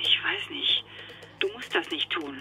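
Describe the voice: A woman puts on a character voice with a bright, sharp tone and a low pitch, swinging it very widely. She goes at a fairly slow pace over faint background noise.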